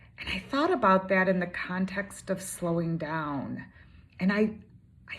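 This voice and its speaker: A woman speaks at a fairly slow pace. Her voice is somewhat breathy. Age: 60s. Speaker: coach or consultant vlogger. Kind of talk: personal vlog monologue. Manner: casual, with fillers.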